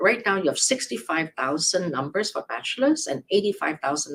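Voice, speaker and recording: Somewhat breathy, a woman speaks at a fairly quick pace with very wide pitch swings. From Hong Kong. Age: 70s. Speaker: immigration attorney. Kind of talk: live Q&A advice show.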